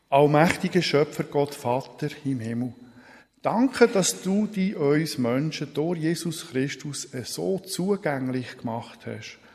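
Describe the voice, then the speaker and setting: A somewhat breathy man at a very slow pace, lively in intonation. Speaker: preacher. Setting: church. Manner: formal, solemn and measured, with a warm pastoral tone.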